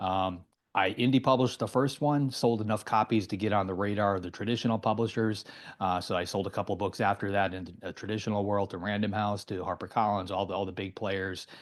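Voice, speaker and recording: Against a quiet background, someone with an American accent talks at a very fast pace with fairly even intonation. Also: man, fairly low pitch for a man. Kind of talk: interview.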